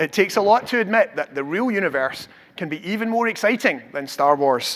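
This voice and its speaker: This man's voice is high-pitched, with a bright, sharp tone. He moves at a fairly quick pace through very wide pitch swings. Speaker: professor. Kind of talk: public science lecture.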